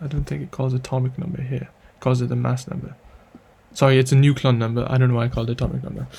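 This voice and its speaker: At a very fast pace, a man talks in a medium pitch with ordinary pitch variation. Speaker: chemistry tutor. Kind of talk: tutorial. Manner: halting.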